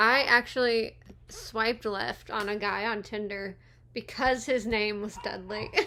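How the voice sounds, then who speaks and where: With a bright, sharp tone, a woman speaks at a fairly high pitch in a monotone, flat intonation. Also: fairly slow pace. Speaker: movie commentary youtuber. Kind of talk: casual watch-along commentary. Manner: casual, chatty.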